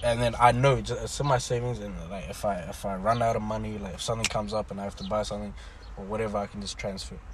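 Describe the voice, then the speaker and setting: Delivered at a very fast pace, the speech has big swings in loudness against noticeable background noise. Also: man. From Sudan-born, raised in New Zealand. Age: 20s. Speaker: podcast guest, university student. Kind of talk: casual chat.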